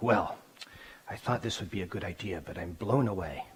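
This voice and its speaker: A man's raspy, put-on character voice with a fairly low pitch at a moderate pace. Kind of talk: silly, casual.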